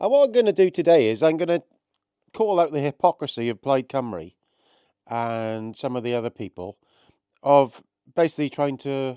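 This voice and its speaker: Speaking at a moderate pace with long, frequent pauses, a man with a Welsh accent uses a fairly high pitch, a dark, mellow tone and very wide pitch swings, the sound dry and close with no echo. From Wales. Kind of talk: political commentary to camera. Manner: casual.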